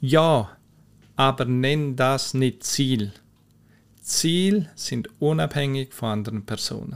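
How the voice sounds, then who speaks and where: A man with a medium pitch and lively intonation talks very slowly, leaving long, frequent pauses. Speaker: mental coach, podcast host. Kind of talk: solo podcast explainer. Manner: conversational, informal.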